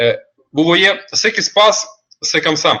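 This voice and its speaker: The man's voice sits at a high pitch. He speaks at a very slow pace. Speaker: online seminar presenter. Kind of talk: webinar presentation. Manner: halting, many fillers.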